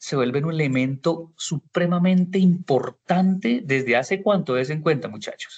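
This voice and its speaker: A man talks in an ordinary speaking voice, fairly high in pitch with ordinary variation and a fairly slow pace. The sound is dry and close, with no echo. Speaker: university lecturer. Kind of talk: online class lecture.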